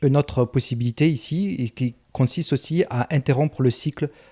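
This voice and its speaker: Somewhat breathy voice with ordinary pitch variation and a dark, mellow tone, dry and close with no echo, on a very clean recording with a silent background. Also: man. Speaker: self-help coach. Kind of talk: tutorial. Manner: halting.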